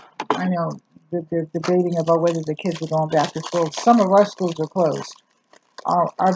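A woman's voice comes through dry, with no echo, over noticeable background noise. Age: 70s. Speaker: YouTuber reviewing products. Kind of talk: casual product review vlog. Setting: home recording. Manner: halting. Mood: relaxed, chatty, humorous. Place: kitchen. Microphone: webcam.

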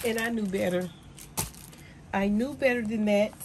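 A woman speaks at a fairly slow pace in an upbeat tone. Noticeable background noise runs behind her. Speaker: small business owner, handmade crafts seller. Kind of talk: casual talk to camera. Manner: chatty, upbeat. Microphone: phone near.

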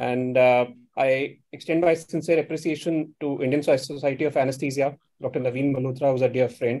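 A man talks at a fairly quick pace in a dark, mellow tone. His intonation is monotone and flat. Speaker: speaker. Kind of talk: lecture. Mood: polite, formal. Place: office. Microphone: video call.

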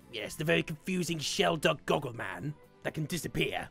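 Over faint background music, a put-on character voice sits at a low-to-middle pitch and moves at a fairly quick pace. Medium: role play. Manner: grumpy, sarcastic.

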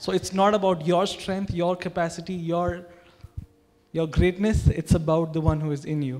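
A man with a high pitch and a dark, mellow tone speaks at a moderate pace with fairly even intonation. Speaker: pastor. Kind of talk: sermon. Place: church. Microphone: handheld.

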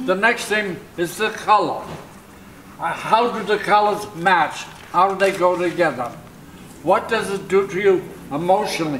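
A man with a high voice speaks at a moderate pace with ordinary pitch variation and long, frequent pauses, over light background noise. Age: 80s+. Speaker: impressionist painter. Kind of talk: interview answer. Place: home room.

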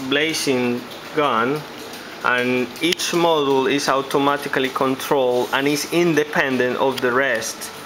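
A man at a fairly slow pace, flat monotone intonation, noticeable background noise. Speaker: presenter. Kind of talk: product demo commentary. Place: office. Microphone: phone near.

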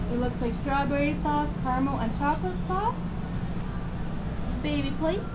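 A woman talks over loud background noise. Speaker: food vlogger. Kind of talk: casual vlog commentary. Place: shop. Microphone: phone near.

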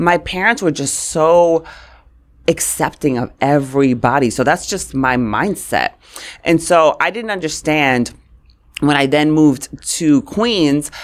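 In a New York accent, a woman speaks with a very deep, low pitch and lively intonation. Her pace is fairly slow against a quiet background. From New York, Brooklyn. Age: 40s. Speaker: communications expert; podcast guest. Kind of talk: interview. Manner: animated. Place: studio. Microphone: studio mic.

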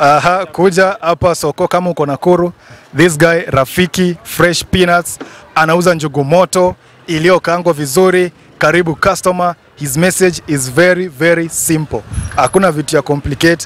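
At a moderate pace, a man speaks in a high pitch, the sound dry with no echo. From Kenya. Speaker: YouTube vlogger interviewer; street interviewer, vlogger. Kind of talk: street interview, casual. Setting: outdoor market. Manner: animated. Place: market. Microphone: handheld.

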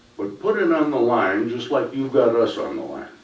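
A man's voice with noticeable background noise and audible room echo. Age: 70s. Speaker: resident making public comment. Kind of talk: public comment. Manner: impassioned.

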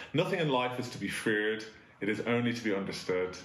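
A man speaks with audible room echo. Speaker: school head teacher. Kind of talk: assembly address. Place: office. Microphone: camera far.

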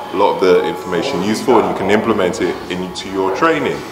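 Music sounds clearly in the background. A man's speech over it moves fairly quickly. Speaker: fitness coach. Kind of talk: casual vlog chat. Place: gym.

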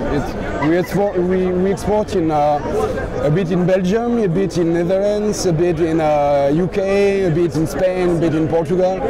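A moderate pace over crowd noise in the background, in a dry sound with no echo. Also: man. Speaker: interviewee. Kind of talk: interview answer. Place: street.

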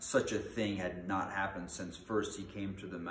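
A natural voice reading aloud

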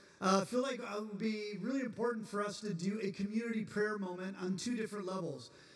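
A man's high-pitched voice with audible room echo. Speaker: campus pastor. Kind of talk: chapel announcements and introduction. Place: hall. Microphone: handheld.

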